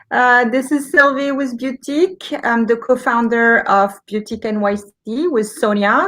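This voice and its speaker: In a quiet background, a woman with a French accent speaks at a fairly high pitch. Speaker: livestream host, beauty shop co-founder. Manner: hesitant, many fillers.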